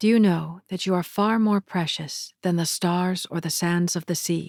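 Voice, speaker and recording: A woman's fairly low voice, a plain, everyday voice, at a fairly slow pace with fairly even intonation, in a dry, close sound with no echo on a very clean recording with a silent background. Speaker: narrator. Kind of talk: spiritual lecture reading with commentary.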